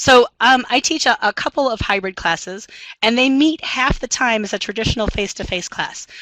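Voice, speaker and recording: A woman speaks at a fairly quick pace with a high pitch and ordinary pitch variation. Her tone is bright and sharp, with a dry, close sound and no echo. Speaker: math instructor. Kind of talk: webinar presentation. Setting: online webinar. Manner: fast; many filler ums.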